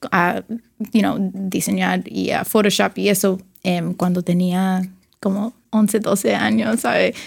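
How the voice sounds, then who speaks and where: The woman's intonation stays fairly even as she talks. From Miami, Cuban-American family. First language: English (speaking Spanish). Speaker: designer. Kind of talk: interview. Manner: halting, code-switching Spanglish.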